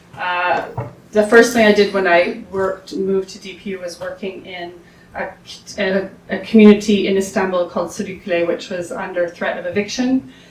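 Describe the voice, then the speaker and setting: Loudness rises and falls sharply, while the intonation stays fairly even. Room echo can be heard, along with noticeable background noise. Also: woman, medium pitch for a woman, moderate pace. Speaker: academic, urban planning researcher. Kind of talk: conference presentation. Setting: symposium with audience. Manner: halting, many fillers.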